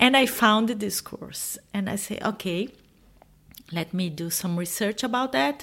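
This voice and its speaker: With a Portuguese accent, a woman speaks at a fairly slow pace with lively intonation. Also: medium pitch for a woman. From Brazil. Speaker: expat author. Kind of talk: interview conversation. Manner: halting.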